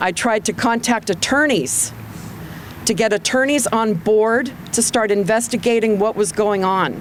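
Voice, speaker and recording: Moderate pace, ordinary pitch variation and noticeable background noise. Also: woman. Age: 60s. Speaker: psychologist, student debtor speaking at a protest. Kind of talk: public testimony. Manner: impassioned.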